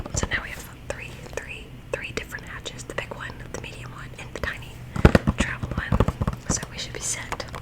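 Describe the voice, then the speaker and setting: Whispering in a gentle tone at a fairly quick pace, a woman is heard over noticeable background noise. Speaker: ASMR creator and mother. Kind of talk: casual whispered ASMR talk to camera. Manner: soft-spoken, gentle.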